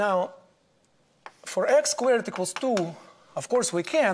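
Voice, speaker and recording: A man talks fairly quickly in a Russian accent, with very wide pitch swings. Light background noise sits behind him. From Soviet Union. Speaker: mathematics professor. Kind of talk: lecture. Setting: lecture hall with audience. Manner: formal, explanatory. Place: classroom. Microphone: lapel.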